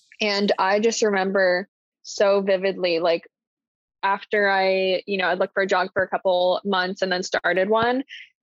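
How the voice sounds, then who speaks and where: A woman speaks at a moderate pace in a medium pitch, her intonation flat and monotone and her loudness very even. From US Midwest, Indiana (Columbus). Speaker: podcast guest. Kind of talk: casual interview chat.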